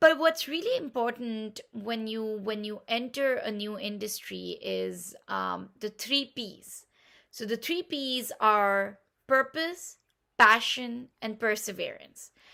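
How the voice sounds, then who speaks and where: A woman with a Pashto accent speaks very slowly at a fairly high pitch, in a bright, sharp tone with ordinary pitch variation. Her loudness swings widely on a very clean recording with a silent background. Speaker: game platform founder. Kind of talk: pitch talk. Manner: enthusiastic.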